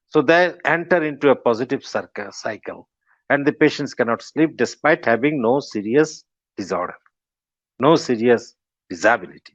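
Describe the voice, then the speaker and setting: In a dry, close recording with no echo and a quiet background, a man with a Bengali accent speaks at a moderate pace, his fairly high pitch rising and falling with lively intonation. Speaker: professor of medicine. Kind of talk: lecture. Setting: webinar.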